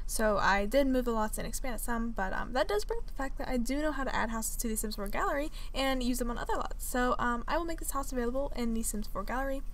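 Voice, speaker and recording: A woman's high-pitched voice, very fast with hardly any pauses, ordinary pitch variation, audible room echo and noticeable background noise. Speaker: gaming video creator. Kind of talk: casual gameplay commentary. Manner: many filler words.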